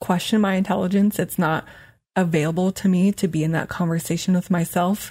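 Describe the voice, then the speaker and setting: A woman speaks at a fairly quick pace in a medium-pitched, somewhat breathy voice with a dark, mellow tone, monotone, flat intonation and very even loudness, on a very clean recording with a silent background. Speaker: life and weight loss coach, podcast host. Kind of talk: solo podcast monologue. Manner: casual, conversational; occasionally stumbles over words.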